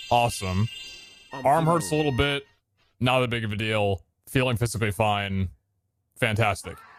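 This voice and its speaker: A man talks at a moderate pace with a medium pitch. Music plays in the background. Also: ordinary pitch variation. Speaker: streamer. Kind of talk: casual chat. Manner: casual, rambling with fillers.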